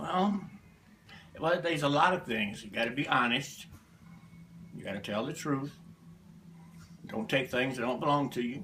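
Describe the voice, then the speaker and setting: In a Southern US accent, a man speaks with a fairly high pitch, lively intonation and big swings in loudness. Long, frequent pauses break up his speech, and there is noticeable background noise. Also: moderate pace. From US South, Alabama. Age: 70s. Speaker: interviewee, family elder. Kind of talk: family history interview. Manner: terse, plain-spoken.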